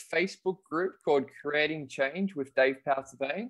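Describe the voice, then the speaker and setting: With an Australian accent, a man speaks at a moderate pace using ordinary pitch variation. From Australia, rural New South Wales. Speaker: children's author and kettlebell champion. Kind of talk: interview. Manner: energetic.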